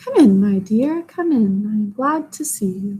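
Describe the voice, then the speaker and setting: A woman does a put-on character voice, shaky and fairly high in pitch. Her pitch swings very widely at a moderate pace. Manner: sweet, welcoming.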